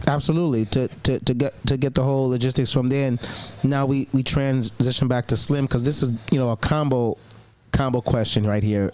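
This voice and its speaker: With very even loudness, the speech moves at a fairly quick pace over noticeable background noise. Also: man, medium pitch for a man. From Long Island. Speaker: podcast host and announcer. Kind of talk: podcast interview, enthusiastic host. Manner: upbeat, energetic, repeats words for emphasis.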